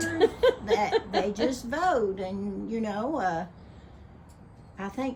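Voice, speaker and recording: In an Appalachian accent, the voice moves at a fairly slow pace with lively intonation. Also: woman. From Appalachian Kentucky. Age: 70s. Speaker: radio DJ. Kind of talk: casual talk to camera.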